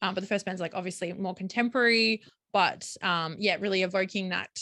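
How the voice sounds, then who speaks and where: A woman speaks at a medium pitch with a strong Australian accent and a bright, sharp tone. Her intonation is fairly even, and the sound is dry and close with no echo. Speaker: podcast co-host, film photographer. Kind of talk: casual chat. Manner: many fillers and hesitations.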